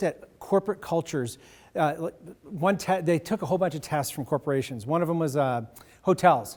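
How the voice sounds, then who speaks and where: Speaking at a fairly quick pace, a man with a fairly high voice and ordinary pitch variation is heard in a very clean recording with a silent background. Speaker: leadership speaker. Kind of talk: keynote speech. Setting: stage with audience. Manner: fast.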